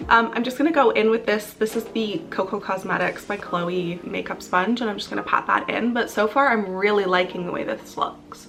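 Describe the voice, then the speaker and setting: There is noticeable background noise behind a woman's voice. Her pitch varies in an ordinary way. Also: medium pitch for a woman, fairly quick pace, hardly any pauses. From western Canada (Calgary, Alberta). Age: 20s. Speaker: beauty vlogger. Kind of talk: casual chat while doing makeup. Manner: casual, chatty.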